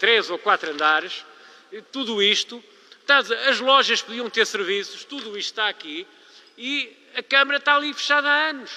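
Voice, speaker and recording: Projecting a raised voice at an extremely high pitch, a man talks at a moderate pace with lively intonation. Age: 70s. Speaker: local politician. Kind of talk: public meeting speech. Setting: public council meeting. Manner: animated.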